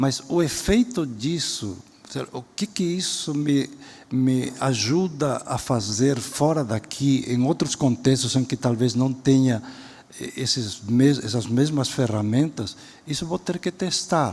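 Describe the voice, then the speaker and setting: Somewhat breathy, a man talks at a very slow pace with a medium pitch and ordinary pitch variation. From Spain. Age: 70s. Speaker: education professor and speaker. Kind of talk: lecture. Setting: auditorium stage with audience.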